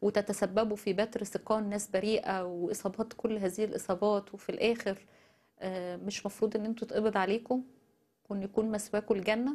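A woman speaks with an Egyptian accent at a moderate pace. Her fairly high voice has monotone, flat intonation. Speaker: news show host. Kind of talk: news commentary. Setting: studio. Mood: indignant, critical. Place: studio. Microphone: lapel.

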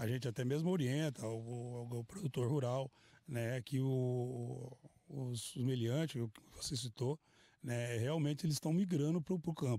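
In a dry recording with no echo and a quiet background, a man speaks at a fairly slow pace with ordinary pitch variation. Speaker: police officer. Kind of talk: news interview. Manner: halting. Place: open country. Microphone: handheld.

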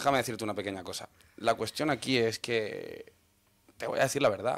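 A man's medium-pitched voice rushes along very fast, its intonation fairly even. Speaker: podcaster on dating and gender; podcaster on dating. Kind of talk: heated debate. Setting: studio. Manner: direct, blunt. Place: studio. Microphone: studio mic.

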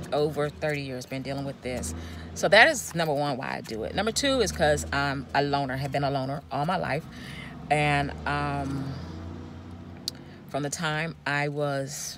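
Over noticeable background noise, a woman with a very deep, low pitch speaks at a moderate pace with ordinary pitch variation and long, frequent pauses, the sound dry with no echo. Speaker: van traveler vlogger. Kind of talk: casual vlog chat. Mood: earnest, reflective. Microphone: phone near.

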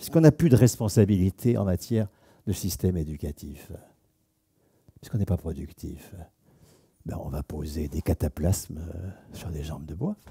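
A man speaks at a moderate pace in a very deep, low pitch, his dark, mellow tone somewhat breathy. His loudness swings widely, with long, frequent pauses over a quiet background. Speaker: sociologist; lecturer. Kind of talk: lecture. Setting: stage with audience. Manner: animated. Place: hall. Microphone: headset.

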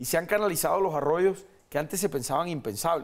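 A man talks at a moderate pace with a high voice and ordinary pitch variation. The background is quiet. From Colombia. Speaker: mayoral candidate, politician; candidate, politician. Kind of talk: political interview. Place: studio. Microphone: lapel.

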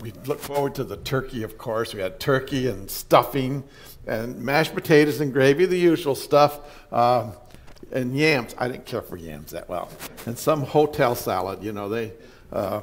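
The voice moves at a moderate pace with lively intonation and big swings in loudness. Light background noise sits behind it. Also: man. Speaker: pastor. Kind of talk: sermon. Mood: warm, nostalgic, light humor. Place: church.

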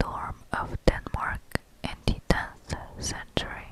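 Whispering at a fairly slow pace, a woman speaks in a breathy voice. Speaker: ASMR creator. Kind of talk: ASMR Wikipedia reading. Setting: close-up condenser microphone recording. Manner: whispered, soft, breathy. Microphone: studio mic.

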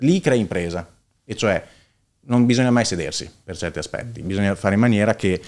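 A man with a Bolognese accent and medium pitch, fairly quick pace, ordinary pitch variation and long, frequent pauses, on a very clean recording with a silent background. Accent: Bolognese Italian. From Italy, Bologna (Casalecchio di Reno). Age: 30s. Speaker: entrepreneur, heir of a family business. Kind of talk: casual interview.

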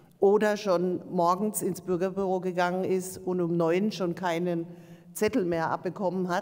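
A woman's monotone, flat intonation over a quiet background. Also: moderate pace. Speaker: local council chair. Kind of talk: council meeting. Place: meeting room. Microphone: podium.

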